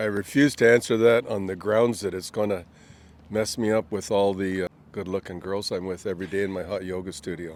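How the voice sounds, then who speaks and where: This man has a plain, everyday voice and a Canadian accent, speaking at a fairly quick pace with a fairly low pitch and fairly even intonation. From Canada, Ontario. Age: 60s. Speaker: retiree. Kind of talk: street interview.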